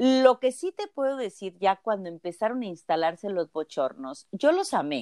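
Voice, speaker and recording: With hardly any pauses and a moderate pace, a woman's medium-pitched voice of dark, mellow tone swings very widely in pitch, the sound dry and close with no echo on a very clean recording with a silent background. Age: 60s. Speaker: physician and healer. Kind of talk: interview.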